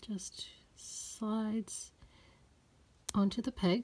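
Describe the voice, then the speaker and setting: The woman's voice is somewhat breathy. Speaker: doll collector YouTuber. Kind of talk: tutorial. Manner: quiet; slow.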